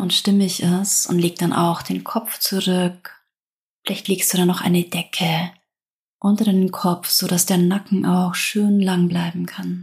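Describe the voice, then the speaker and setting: In a calm tone, a woman speaks very slowly at medium pitch, somewhat breathy and monotone, with flat intonation, on a very clean recording with a silent background. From southern Germany. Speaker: yoga teacher. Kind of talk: guided yoga practice. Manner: slow, calm.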